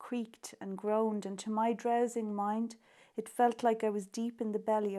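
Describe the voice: The voice is reading aloud. It is plain reading aloud.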